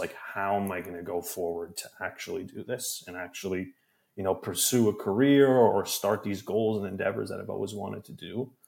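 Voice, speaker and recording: With a Canadian accent and an ordinary speaking voice, a man talks at a moderate pace in a fairly low pitch, with ordinary pitch variation. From Canada. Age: 20s. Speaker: podcast producer and editor. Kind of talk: casual chat.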